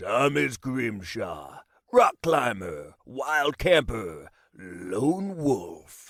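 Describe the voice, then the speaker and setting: In a put-on character voice, a man speaks at a very slow pace with a raspy, gruff sound and a medium pitch. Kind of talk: dramatic action-trailer delivery.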